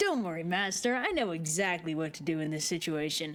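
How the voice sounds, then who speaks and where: A put-on character voice at a fairly quick pace. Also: woman, fairly low pitch for a woman. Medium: game stream. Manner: cocky, casual slang.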